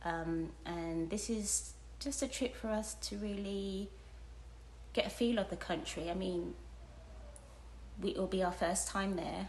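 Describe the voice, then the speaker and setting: In audible room echo, a woman speaks at a fairly slow pace with long, frequent pauses. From United Kingdom. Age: 50s. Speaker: retired travel vlogger. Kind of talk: casual vlog talk to camera. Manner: halting, many fillers.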